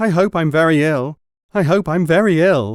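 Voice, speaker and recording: A man does a put-on character voice with fairly high pitch and ordinary pitch variation at a moderate pace. The loudness is very even, and the sound is dry and close with no echo. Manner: loud, repeating.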